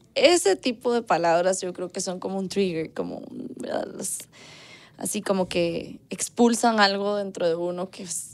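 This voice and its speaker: A woman's medium-pitched voice with a Costa Rican accent, fairly slow pace, and very wide pitch swings. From Costa Rica, Guadalupe. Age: 30s. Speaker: singer; interview guest. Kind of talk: casual chat. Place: studio.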